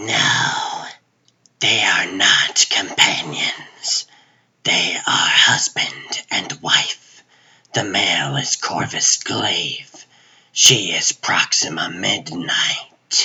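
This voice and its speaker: In a put-on character voice, a man whispers raspily at a very slow pace. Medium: fan dub. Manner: formal, solemn.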